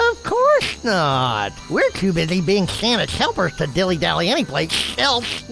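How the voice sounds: A cartoonish character voice moves at a moderate pace with hardly any pauses while clear music plays in the background.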